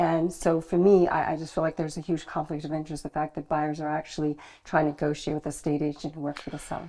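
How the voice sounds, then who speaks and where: In an American accent, a woman speaks in a monotone, flat way, her very deep, low voice dark and mellow in tone. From US, New York. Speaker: estate agent. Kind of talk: interview.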